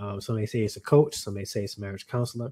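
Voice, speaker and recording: The man's voice is somewhat breathy. It has a dry, close sound with no echo. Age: 30s. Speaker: marriage coach and teacher. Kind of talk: live stream talk. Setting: live broadcast.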